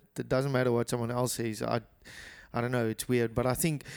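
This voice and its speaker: A man speaks in a South African accent at a medium pitch. His intonation stays flat and monotone. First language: Afrikaans. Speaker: podcast co-host. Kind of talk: casual chat.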